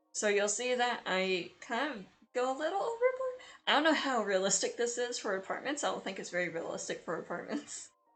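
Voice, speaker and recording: The intonation is lively and the pace fairly quick. Music plays in the background. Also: woman, high pitch for a woman. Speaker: gaming video creator. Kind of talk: casual commentary over build video. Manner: fast; hesitant, many fillers.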